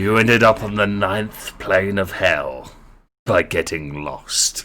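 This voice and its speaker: In a put-on character voice, a man speaks at a fairly slow pace, his fairly low pitch sounding raspy. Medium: actual play. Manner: menacing, condescending.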